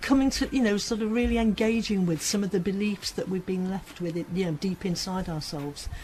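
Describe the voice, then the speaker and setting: Here a woman has an unremarkable speaking voice, medium in pitch with ordinary pitch variation. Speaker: assertiveness tutor. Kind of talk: interview answer.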